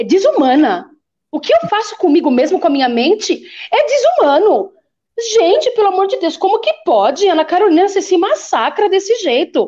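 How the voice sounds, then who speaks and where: A woman's extremely high-pitched voice with very wide pitch swings, very even loudness and a moderate pace. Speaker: bishop and preacher. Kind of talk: casual chat. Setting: live stream.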